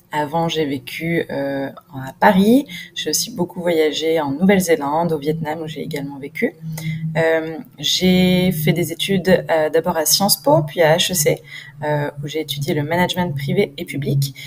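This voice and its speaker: A woman with a very deep, low pitch talks fairly slowly, her intonation fairly even. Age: 30s. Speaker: entrepreneur. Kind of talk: self-introduction video.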